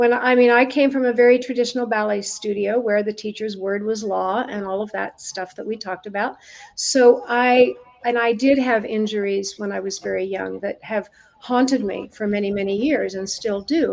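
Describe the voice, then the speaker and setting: Noticeable background noise sits behind a woman speaking at a moderate pace with a fairly high pitch and fairly even intonation. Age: 70s. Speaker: dance medicine and science expert, former ballet dancer. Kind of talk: podcast interview. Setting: live-streamed video call.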